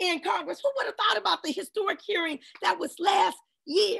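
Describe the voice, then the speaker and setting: A woman with an American accent speaks at a fairly quick pace in an extremely high, bright, sharp voice with very wide pitch swings, over a quiet background. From Washington, D.C. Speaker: policy advocate and lawyer; lawyer. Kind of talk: panel discussion; panel discussion talk. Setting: video call. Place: home room. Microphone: video call.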